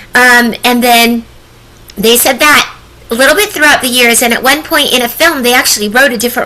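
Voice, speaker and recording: Noticeable background noise sits behind a woman's voice. Her pitch is high, with ordinary variation. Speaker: voice actress. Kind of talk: interview. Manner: hesitant, many fillers. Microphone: echo.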